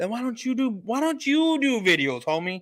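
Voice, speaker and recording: With lively intonation, a man speaks in an animated, bright, sharp tone. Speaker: sports streamer. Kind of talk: live stream chat reading comments. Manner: repetitive, stutters a little.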